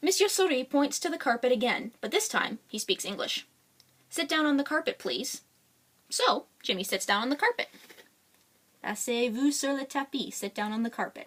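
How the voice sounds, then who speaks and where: A woman speaks at a moderate pace in a high pitch. Her pitch swings very widely, broken by long, frequent pauses. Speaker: children's book author and illustrator. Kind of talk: read-aloud children's picture book. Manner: casual, unrehearsed.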